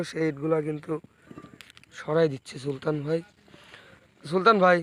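A man speaks in a flat monotone at a fairly high pitch, with noticeable background noise behind him. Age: 20s. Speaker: brick kiln business vlogger. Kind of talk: vlog interview.

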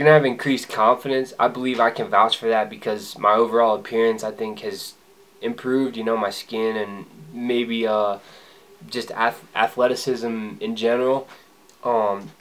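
A man's fairly even intonation at a moderate pace. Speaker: vlogger. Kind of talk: casual vlog chat. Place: home room. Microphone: camera far.

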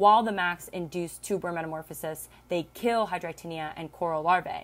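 A woman with a plain, everyday voice speaks at a moderate pace in a fairly low pitch, her intonation fairly even. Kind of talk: lecture. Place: home room. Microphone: webcam.

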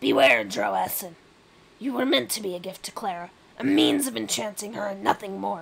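A woman performs a put-on character voice at medium pitch with big pitch swings. Her delivery has vocal fry and a slightly husky edge at a moderate pace.

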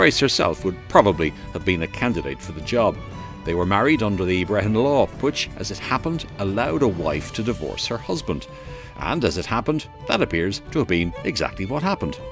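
Over music in the background, a man with a fairly low pitch talks at a fairly quick pace with very wide pitch swings. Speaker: historian and radio presenter. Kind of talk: light-hearted documentary narration.

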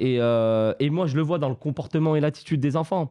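A man speaks fairly quickly in a fairly high voice with a dark, mellow tone. His pitch varies in an ordinary way, and the background is quiet. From France, of Portuguese descent. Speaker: football academy founder; guest. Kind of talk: casual chat. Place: studio. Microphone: studio mic.

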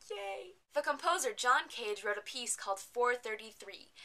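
A woman talks here. Lively intonation marks her speech. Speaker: vlogger. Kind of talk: casual vlog chat. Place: home room. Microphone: webcam.

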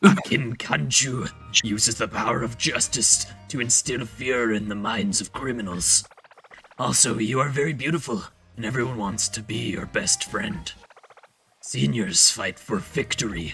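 Using a put-on character voice, a gravelly man of medium pitch speaks at a moderate pace with lively intonation as faint music plays in the background. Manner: serious, dramatic.

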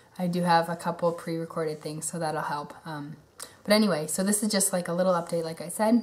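Speaking very fast, a woman with a fairly low pitch is heard over noticeable background noise. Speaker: vlogger, young mother. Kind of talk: casual vlog update. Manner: halting, many ums.

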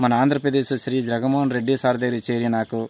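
A man talks in a dark, mellow tone with flat, monotone intonation, the sound dry and free of echo. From Srikakulam district, Andhra Pradesh, India; Andhra Pradesh, India. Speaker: reserve battalion soldier. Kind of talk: personal appeal for help. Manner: halting. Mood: earnest, pleading for help. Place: open country. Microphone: phone near.

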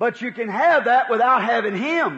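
Using a raised, projected voice with a bright, sharp tone, a man speaks at a fairly slow pace with very wide pitch swings. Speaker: preacher. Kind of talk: sermon excerpt. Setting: recorded church sermon from the 1950s.

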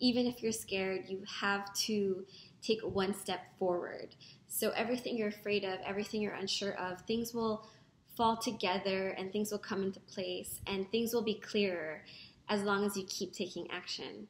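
With audible room echo and light background noise, a woman with a medium pitch speaks at a moderate pace using fairly even intonation. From Philippines, Manila. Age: 30s. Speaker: founder of a women's organization. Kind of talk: video testimonial to camera. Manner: some hesitations and restarts. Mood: earnest, encouraging. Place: home room. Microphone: webcam.

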